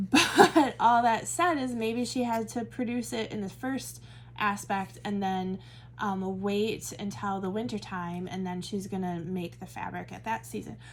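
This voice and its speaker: A woman with a Midwestern American accent and a medium, somewhat breathy voice speaks at a fairly slow pace. Her pitch swings very widely and her loudness rises and falls a lot. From US Midwest. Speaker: Bible study teacher. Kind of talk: Bible study teaching. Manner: casual, conversational with fillers.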